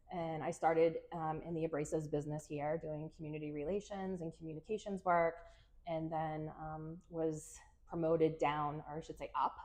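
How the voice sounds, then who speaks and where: A woman with a Massachusetts accent speaks at a moderate pace in a very deep, low, monotone voice. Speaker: PR agency owner, former radio DJ. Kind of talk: podcast interview. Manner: casual, many filler words.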